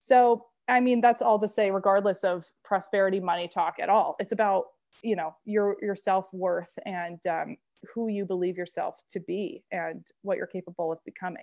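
A woman's unremarkable speaking voice at medium pitch, with an American accent, a moderate pace and ordinary pitch variation. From Maine, US. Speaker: women's empowerment coach and podcast host. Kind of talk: interview conversation.

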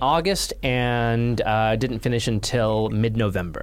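A man speaks at a medium pitch. Noticeable background noise runs beneath him. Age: 30s. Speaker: automotive journalist. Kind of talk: casual chat.

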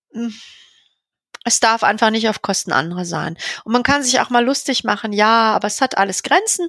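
With a bright, sharp tone and fairly high pitch, a woman speaks at a moderate pace, her intonation lively and her pauses long and frequent. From Berlin, Germany. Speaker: veterinarian and practice owner. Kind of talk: podcast interview.

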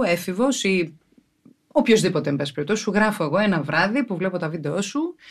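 A woman has a plain, everyday voice at medium pitch with lively intonation. The background is quiet. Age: 40s. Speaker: podcast host. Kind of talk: casual chat.

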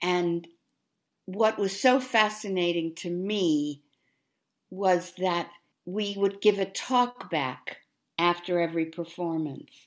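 Pausing long and often, a woman speaks at a very slow pace. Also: medium pitch for a woman, ordinary pitch variation. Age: 80s+. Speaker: actor and theater teacher. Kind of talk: interview. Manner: halting.

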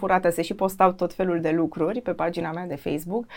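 A woman talks at a fairly quick pace in an unremarkable speaking voice. Her pitch is fairly low and her intonation fairly even. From Romania, Iași. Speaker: TV news presenter and journalist. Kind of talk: interview.

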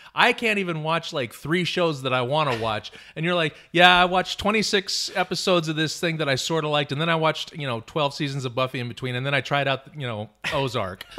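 Very fast, hardly any pauses, a man with a fairly high pitch, an animated tone and lively intonation. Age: 40s. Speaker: guest. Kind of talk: casual chat. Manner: animated, joking.

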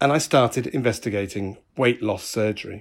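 A man speaks with a British accent in a very clean recording with a silent background. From UK. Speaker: podcaster. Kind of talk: personal monologue. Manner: occasionally halting.

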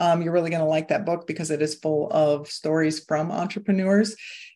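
A woman speaks with a Midwestern American accent. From US Midwest, Iowa. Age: 50s. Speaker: hypnotherapist and weight-loss coach. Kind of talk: casual interview chat.

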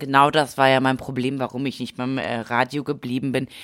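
A woman with a very deep, low pitch talks at a moderate pace, keeping fairly even intonation. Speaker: podcast co-host. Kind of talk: casual chat. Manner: mumbling.

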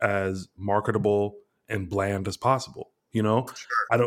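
This man's voice sits fairly low. He talks at a moderate pace. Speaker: podcast host and screenwriter. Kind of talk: casual chat.

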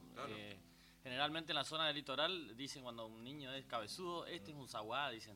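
A man at a very fast pace, medium in pitch, with ordinary pitch variation, big swings in loudness, and music in the background. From Corrientes province, Argentina (Itá Ibaté). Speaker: chamamé musician and TV host. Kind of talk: casual interview on live radio. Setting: radio studio.

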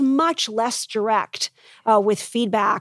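Recorded with a dry, close sound with no echo, a woman with a fairly high pitch and a plain, everyday voice speaks at a fairly slow pace. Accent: American. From United States. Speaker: business professor and author. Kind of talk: conference interview. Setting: live event venue.

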